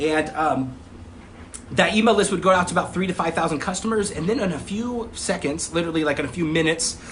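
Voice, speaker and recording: Speaking very fast at a high pitch, a man is heard with audible room echo. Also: ordinary pitch variation. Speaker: online marketing coach. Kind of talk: live stream class. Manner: casual, many filler words.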